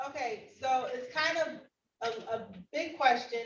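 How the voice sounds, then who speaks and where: Audible room echo surrounds a voice whose pitch varies in an ordinary way. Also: woman. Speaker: judge. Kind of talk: courtroom proceedings. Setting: virtual courtroom.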